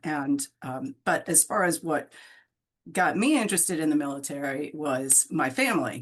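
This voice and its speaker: A woman's intonation is lively, and the background around her is quiet. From Maryland, US. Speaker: retired Navy officer. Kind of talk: interview. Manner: halting, repeats words.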